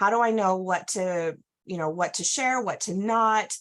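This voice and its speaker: A normal speaking voice from a woman, medium in pitch, with ordinary pitch variation. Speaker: direct sales trainer. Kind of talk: training presentation.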